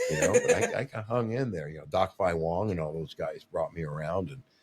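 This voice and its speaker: Very deep, low, somewhat breathy male speech at a moderate pace. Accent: American. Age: 60s. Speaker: martial arts coach. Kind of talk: casual chat. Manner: animated.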